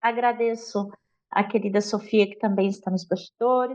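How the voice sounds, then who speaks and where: A woman with a fairly high pitch talks at a fairly slow pace in an ordinary speaking voice. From rural Minas Gerais, Brazil. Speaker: literature teacher. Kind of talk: casual chat.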